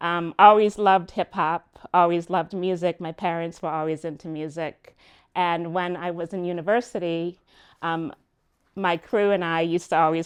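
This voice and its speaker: A plain, everyday voice with an American accent moves at a moderate pace with fairly even intonation. The sound is dry and close with no echo, over a quiet background. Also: woman. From New York. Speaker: music business consultant. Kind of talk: lecture.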